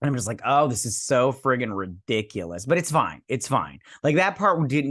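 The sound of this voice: Someone reads in an unforced reading voice.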